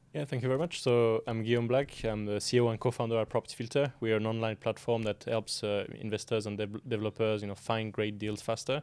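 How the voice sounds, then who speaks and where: A man with a French accent at a very fast pace, hardly any pauses, and fairly even intonation. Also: medium pitch for a man, very clean recording, silent background. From France. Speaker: property software company founder. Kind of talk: podcast interview. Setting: in person, Manchester. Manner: halting, many fillers.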